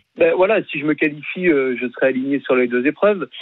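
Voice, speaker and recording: A man talks with fairly high pitch and ordinary pitch variation. It is an ordinary speaking voice. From France. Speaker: triathlete. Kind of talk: radio interview.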